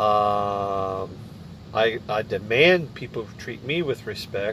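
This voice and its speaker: Over noticeable background noise, a man with an American accent speaks with ordinary pitch variation. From West Virginia, Appalachia. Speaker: truck driver vlogger. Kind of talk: casual vlog monologue. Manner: halting, many fillers.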